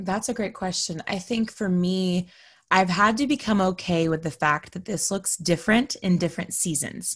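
In an American accent, a woman speaks at a moderate pace with a medium pitch and ordinary pitch variation. Her voice is somewhat breathy, and the background is quiet. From Texas. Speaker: podcaster. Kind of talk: interview conversation. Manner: animated.

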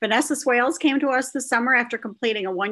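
Speaking at a fairly quick pace, a woman uses a high pitch and a bright, sharp tone. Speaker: editor and moderator. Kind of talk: panel discussion. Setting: video call.

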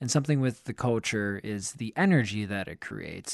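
A man's plain, everyday voice at a medium pitch, with an American accent, a fairly quick pace, ordinary pitch variation and a quiet background. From Pennsylvania. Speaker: soccer podcast co-host. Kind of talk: casual chat.

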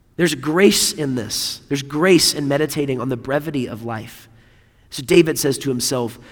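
An ordinary speaking voice, a man at fairly high pitch with ordinary pitch variation and a moderate pace. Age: 30s. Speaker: preacher. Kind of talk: sermon.

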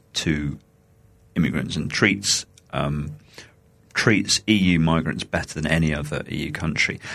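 With a British accent, a man talks in a very deep, low voice with ordinary pitch variation. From coastal England. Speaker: podcast co-host, EU civil servant. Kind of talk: casual political chat. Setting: at home, remote recording.

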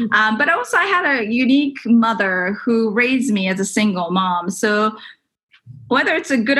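This voice has a Japanese accent and lively intonation. Its tone is bright and sharp. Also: woman. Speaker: tech entrepreneur. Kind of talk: interview.

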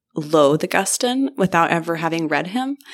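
A woman's fairly low-pitched voice in a very clean recording with a silent background. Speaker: professor and author. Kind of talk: interview conversation. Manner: witty, snarky.

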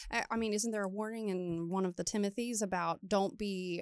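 On a dry, close recording with no echo, a woman with an unremarkable speaking voice and an American accent talks at a fairly quick pace in a medium pitch with fairly even intonation. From Maryland, US. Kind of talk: casual chat.

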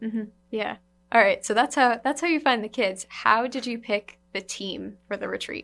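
A woman talks at a moderate pace in a plain, everyday voice. Her pitch is fairly high with ordinary variation, and her loudness swings widely. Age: young. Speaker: podcast host. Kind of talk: podcast intro and outro; casual interview. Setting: studio.

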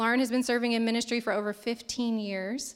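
Someone speaks fairly quickly in an American accent, with monotone, flat intonation. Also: woman. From southern Indiana. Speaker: event emcee. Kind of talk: speaker introduction. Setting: church stage with audience.

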